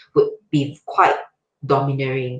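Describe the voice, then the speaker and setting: A woman speaks at a fairly slow pace with a very deep, low pitch. Her voice is somewhat breathy and her intonation fairly even. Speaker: podcast guest, IT professional. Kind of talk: casual chat.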